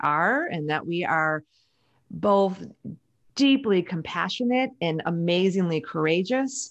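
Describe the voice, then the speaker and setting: A woman talks fairly slowly, and the background is quiet. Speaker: podcast guest. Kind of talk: interview answer. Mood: warm, earnest, some laughter. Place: home room. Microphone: studio mic.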